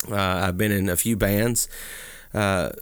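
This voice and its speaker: A man's fairly slow, fairly low voice with a Southern US accent. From Alabama (Talladega). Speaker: podcast co-host, pastor. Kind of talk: casual chat about books.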